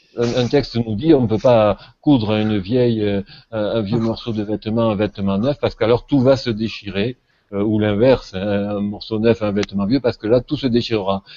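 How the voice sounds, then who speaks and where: Pitched fairly low, a man with a southern French accent speaks at a moderate pace with fairly even intonation. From southern France. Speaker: religion scholar. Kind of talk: panel discussion. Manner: hesitant, many fillers.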